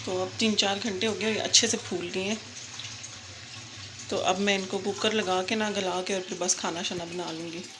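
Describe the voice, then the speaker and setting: At a moderate pace, a woman speaks at medium pitch with fairly even intonation. Noticeable background noise and audible room echo surround her voice. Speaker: home vlogger. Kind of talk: vlog narration. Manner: casual.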